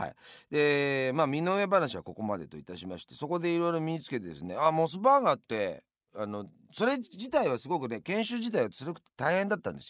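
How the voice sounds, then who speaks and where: In a very clean recording with a silent background, a man talks at a fairly quick pace with big swings in loudness. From Yamanashi, Japan. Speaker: radio host. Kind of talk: radio monologue.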